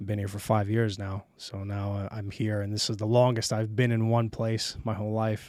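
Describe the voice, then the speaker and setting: In a very clean recording with a silent background, a man with an American accent speaks at a moderate pace in a fairly low, monotone voice with flat intonation. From New York City (Brooklyn, Queens). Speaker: film director. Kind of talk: casual chat.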